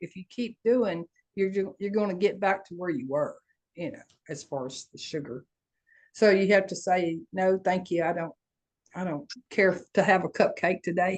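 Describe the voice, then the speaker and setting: With ordinary pitch variation, a woman talks at a moderate pace in a medium pitch. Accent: Southern US. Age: 70s. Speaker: coaching group participant. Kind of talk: casual chat.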